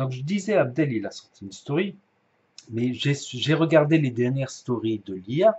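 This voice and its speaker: Speaking very slowly, a man has a fairly high, somewhat breathy voice. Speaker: YouTuber commenting on influencer drama. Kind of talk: casual commentary vlog. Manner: soft-spoken; halting, many hesitations. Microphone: poor mic, hard to hear.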